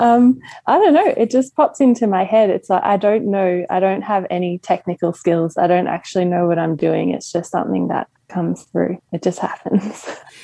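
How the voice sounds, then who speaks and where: A woman with an Australian accent, hardly any pauses, and ordinary pitch variation. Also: medium pitch for a woman, moderate pace. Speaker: singer-songwriter. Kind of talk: casual chat.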